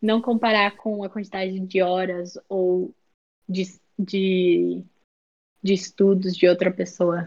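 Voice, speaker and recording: A woman's medium-pitched voice in a monotone, flat intonation, at a very slow pace with long, frequent pauses. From Brazil, São Paulo state (Sorocaba). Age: young. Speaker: student. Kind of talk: casual interview.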